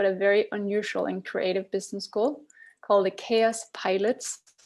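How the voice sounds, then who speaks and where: A woman with a Danish accent, fairly high in pitch, over a quiet background. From Denmark. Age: 40s. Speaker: tech founder. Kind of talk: podcast interview. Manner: hesitant, many ums.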